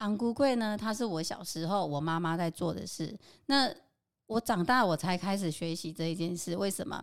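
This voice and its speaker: At a moderate pace and medium pitch, a woman with an unremarkable speaking voice uses lively intonation, in a very clean recording with a silent background. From Taiwan, Qingshui (Taichung). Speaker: home cook and local food experience designer. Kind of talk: casual interview.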